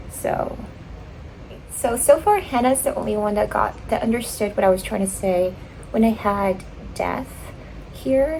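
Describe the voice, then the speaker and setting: Speaking fairly slowly with a slight Filipino accent, a woman leaves long, frequent pauses over noticeable background noise. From Philippines. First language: Tagalog. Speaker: writer and vlogger. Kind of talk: casual vlog, reading feedback aloud. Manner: animated; halting.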